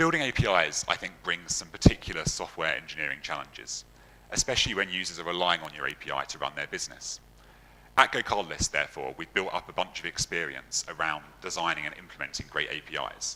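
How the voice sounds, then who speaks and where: In a London accent, a man with a very deep, low pitch talks at a very fast pace with ordinary pitch variation. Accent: British, London. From London, England. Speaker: software engineer, conference speaker. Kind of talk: conference talk.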